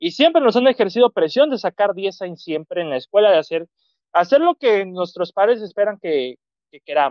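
This man's voice is high and swings very widely in pitch. His loudness rises and falls sharply at a moderate pace. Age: 20s. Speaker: film commentator. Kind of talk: casual chat.

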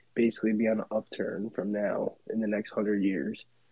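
Speaking at a fairly quick pace, a man uses a plain, everyday voice at medium pitch. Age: 30s. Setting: video call late at night.

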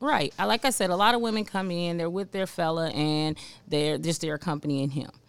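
In an American accent, a woman with an ordinary speaking voice talks at a fairly quick pace, fairly low in pitch, with lively intonation. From Cincinnati, Ohio, US Midwest. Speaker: cigar lounge worker and cigar aficionado. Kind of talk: casual chat.

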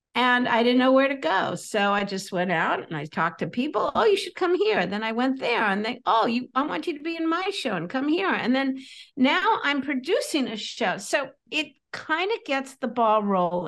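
At a moderate pace, a woman speaks at a high pitch with very wide pitch swings. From California. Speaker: comedian and comedy coach. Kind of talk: casual interview chat. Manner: animated, humorous.

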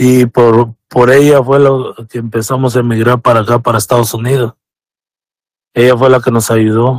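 The man's medium-pitched voice moves at a moderate pace with monotone, flat intonation, and the sound is dry and close with no echo. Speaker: immigrant father telling his story. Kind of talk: personal testimony. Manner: reserved, few words. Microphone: shares Bluetooth with wife, sounds a bit far.

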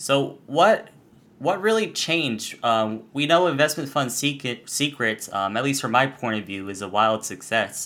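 Bright, sharp tone with lively intonation, delivered at a fairly slow pace on a very clean recording with a silent background. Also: man, medium pitch for a man. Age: 20s. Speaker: podcast host. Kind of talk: casual interview.

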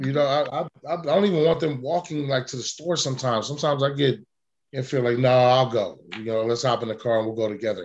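A man with an American accent, medium pitch, ordinary pitch variation, and a very fast pace. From Oakland, California. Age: 40s. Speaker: podcast host. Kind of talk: podcast interview.

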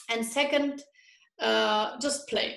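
This is a woman speaking. She has a German accent. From Germany. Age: 30s. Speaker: health and nutrition coach. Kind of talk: interview.

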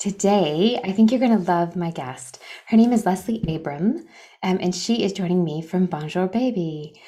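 A dark, mellow voice with an American accent comes through in a very clean recording with a silent background. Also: woman. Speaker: podcast host. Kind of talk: podcast interview.

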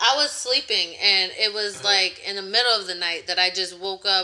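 Over noticeable background noise, a woman speaks at a fairly quick pace and medium pitch. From Connecticut. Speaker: DIY home renovator. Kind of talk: interview.

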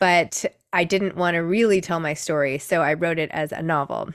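Talking at a moderate pace, a woman uses a plain, everyday voice pitched fairly low. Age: 40s. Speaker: author and book influencer. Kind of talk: interview.

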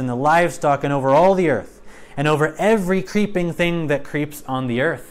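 A man's unremarkable speaking voice, pitched fairly high, its pitch variation ordinary. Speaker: Bible teacher. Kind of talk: Bible study lesson mixing teaching with reading scripture aloud. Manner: measured, earnest, expository; reads scripture slowly and solemnly, then explains in a conversational tone.

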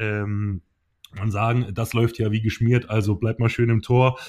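A man's medium-pitched voice at a moderate pace with fairly even intonation, on a very clean recording with a silent background. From southern Germany. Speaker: podcast co-host, former handball goalkeeper. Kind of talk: casual chat. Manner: hesitant, many fillers.

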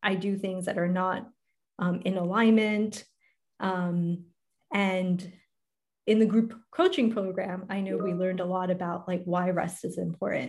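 Somewhat breathy, a woman of medium pitch speaks at a fairly slow pace with fairly even intonation and long, frequent pauses. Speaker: podcast host and life coach. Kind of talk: casual interview chat.

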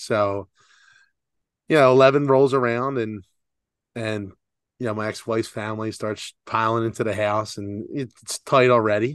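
Over a quiet background, a man of medium pitch speaks with fairly even intonation and long, frequent pauses. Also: moderate pace. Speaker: podcast co-host. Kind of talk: casual chat. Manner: talking out the side of his mouth.

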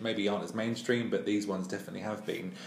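A man with an English accent, fairly low-pitched, with fairly even intonation and noticeable background noise. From England, Ipswich. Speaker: podcast host. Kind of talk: casual chat.

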